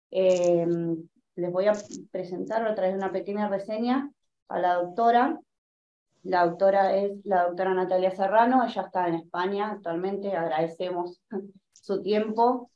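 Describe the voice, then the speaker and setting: Pausing long and often, a woman with a dark, mellow tone and fairly even intonation talks at a moderate pace, with audible room echo. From Argentina. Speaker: host introducing a speaker. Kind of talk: panel discussion. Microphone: webcam.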